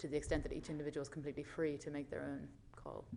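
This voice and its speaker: A woman with an Irish accent, very deep and low in pitch, dark and mellow in tone, at a very fast pace. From Ireland. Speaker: audience member, graduate student. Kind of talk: audience question. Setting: stage with audience. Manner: hesitant, many fillers.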